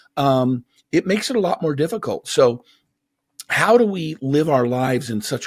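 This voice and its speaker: With an American accent and lively intonation, a man uses a normal speaking voice at a fairly slow pace on a very clean recording with a silent background. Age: 50s. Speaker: motivational speaker and author. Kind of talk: interview conversation.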